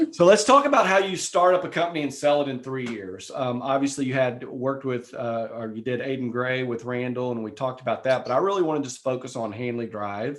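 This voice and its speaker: A man talks at a very fast pace with hardly any pauses at medium pitch. His pitch variation is ordinary, and noticeable background noise is present. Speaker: podcast host. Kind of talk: casual interview.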